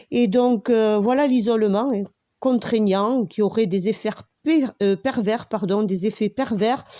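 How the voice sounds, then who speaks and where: Woman at medium pitch with a dark, mellow tone, a fairly slow pace, ordinary pitch variation and a quiet background. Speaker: video commentator. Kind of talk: monologue commentary. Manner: halting, many fillers.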